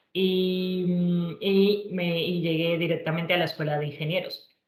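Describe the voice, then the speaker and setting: In a room with audible echo, a woman speaks at a fairly low pitch with fairly even intonation. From Colombia, Bogotá. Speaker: engineer and tech entrepreneur. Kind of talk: presentation talk. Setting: online virtual event.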